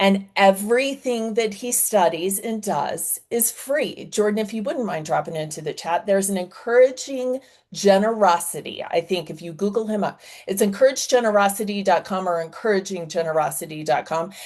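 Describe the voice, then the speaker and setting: A woman talks in an animated tone at a moderate pace, with hardly any pauses. Her pitch variation is ordinary, and the background is quiet. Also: medium pitch for a woman. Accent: American. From US South. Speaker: fundraising consultant. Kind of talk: webinar presentation.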